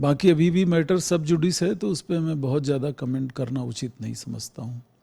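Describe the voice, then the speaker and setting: A man's fairly high voice, somewhat breathy, with a dark, mellow tone and ordinary pitch variation. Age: 60s. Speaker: hospital director, doctor. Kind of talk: news interview. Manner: formal.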